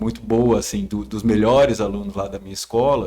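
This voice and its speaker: Spoken at a fairly quick pace, this voice carries a northeastern Brazilian accent. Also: man. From Ceará, Brazil. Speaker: psychiatrist. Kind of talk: casual chat.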